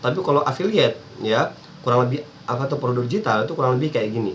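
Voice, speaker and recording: A man speaks very fast as noticeable background noise carries on behind him. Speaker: internet marketing coach. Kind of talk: tutorial.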